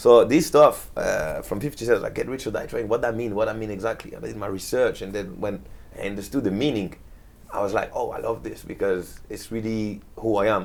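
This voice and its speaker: A man with a French accent talks at a fairly quick pace. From France, Marseille. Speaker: DJ. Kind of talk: casual chat.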